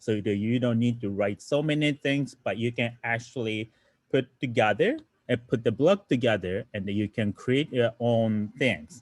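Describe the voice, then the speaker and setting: A man speaks with a Japanese accent. His pitch sits in the medium range. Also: ordinary pitch variation, moderate pace. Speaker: robotics teacher. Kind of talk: lecture. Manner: halting.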